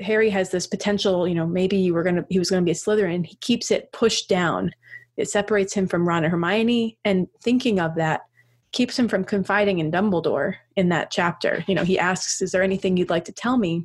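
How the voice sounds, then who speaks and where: A woman with a plain, everyday voice speaks at a fairly quick pace, her medium pitch carried by fairly even intonation. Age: 30s. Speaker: priest and podcast co-host. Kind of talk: casual chat. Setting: remote internet recording.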